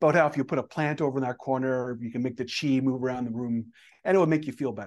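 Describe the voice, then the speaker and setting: The background is quiet as a man speaks at a very fast pace. His voice sits at medium pitch, with ordinary pitch variation. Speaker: Toastmaster club leader. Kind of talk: interview. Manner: fast talker.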